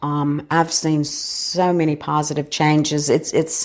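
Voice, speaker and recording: A woman speaks with a South Carolina accent. Her pitch is very deep and low. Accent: South Carolina Southern. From US South, Florence, South Carolina. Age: 60s. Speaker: school foundation director. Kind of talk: interview conversation.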